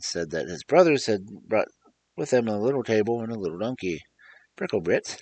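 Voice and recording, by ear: Someone is reading aloud in a natural voice. Behind it, the background is quiet.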